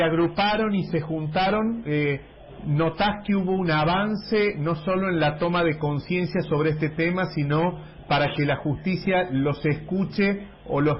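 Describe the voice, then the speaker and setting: Noticeable background noise sits behind a man with a high voice. His intonation stays fairly even. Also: very even loudness. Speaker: radio host. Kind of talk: radio interview.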